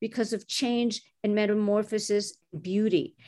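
A woman is speaking. Her pace is moderate. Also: quiet background. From Montreal, Canada. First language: French. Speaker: executive recruiter. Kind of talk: interview.

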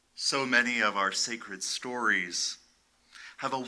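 In a very clean recording with a silent background, a man with an unremarkable speaking voice talks fairly slowly at a medium pitch with lively intonation. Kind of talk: dramatic sermon narration, retelling a violent biblical story. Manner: hushed, deliberate, grave storytelling with suspenseful pauses; solemn, vividly expressive, building tension.

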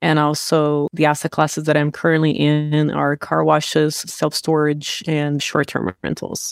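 A woman with a Portuguese accent speaks at a fairly slow pace in a very deep, low voice with monotone, flat intonation. The sound is dry and close with no echo, on a very clean recording with a silent background. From Brazil. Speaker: real estate investor. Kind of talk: interview.

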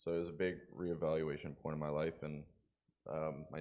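In a Western Canadian accent, a man talks with a very deep, low pitch. His intonation is monotone and flat. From rural Alberta, Canada. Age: 20s. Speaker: recovery program student. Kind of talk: testimony interview. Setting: church service.

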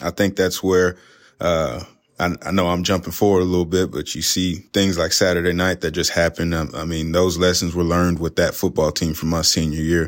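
In a relaxed tone, a man with a very deep, low voice talks at a fairly quick pace in a monotone, flat delivery. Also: very clean recording, silent background. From Southeast Texas, League City in Galveston County. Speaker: college football defensive coordinator. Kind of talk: casual interview. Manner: relaxed, frequent fillers.

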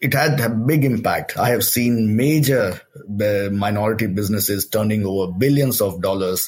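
Speaking in an Indian accent with hardly any pauses, a man with a fairly low voice keeps his loudness very even and his pitch variation ordinary. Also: moderate pace. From India, Delhi. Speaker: social entrepreneur, chief executive. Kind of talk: interview.

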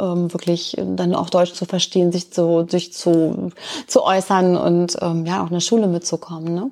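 Speaking at a fairly slow pace, a woman delivers her lines in a fairly low pitch with a dark, mellow tone and monotone, flat intonation. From Lower Saxony, Germany. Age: 50s. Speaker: volunteer tutor. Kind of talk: interview.

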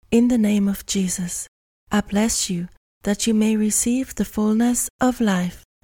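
A somewhat breathy voice with a dark, mellow tone speaks at a fairly slow pace. The intonation stays fairly even, and the sound is dry and close with no echo. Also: woman. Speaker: podcast host leading prayer. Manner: intense, authoritative, solemn; deliberate, rhythmic declarations.

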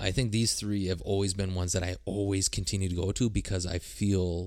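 A man speaks with a very deep, low pitch. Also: very clean recording, silent background. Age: 30s. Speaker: music podcast co-host. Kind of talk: casual chat.

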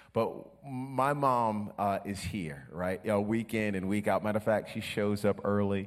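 A man with an unremarkable speaking voice talks at a moderate pace, fairly low in pitch with ordinary pitch variation. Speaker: pastor. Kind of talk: sermon. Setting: church.

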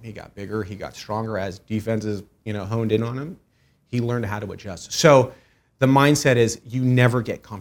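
Heard on a very clean recording with a silent background, a man with an unremarkable speaking voice and medium pitch talks at a fairly quick pace. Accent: American. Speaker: commercial real estate broker. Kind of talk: interview.

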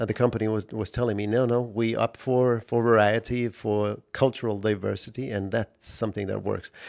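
Against a quiet background, a man at medium pitch speaks in a monotone, flat intonation with hardly any pauses. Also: moderate pace. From Poland. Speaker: cruise ship captain. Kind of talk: interview. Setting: on board a ship.

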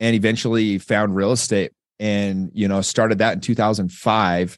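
The background is quiet. A man speaks with a Western US accent. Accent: American, Western US. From Utah. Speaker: entrepreneur and real estate investor. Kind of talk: casual interview. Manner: relaxed, filler-heavy with repetitions.

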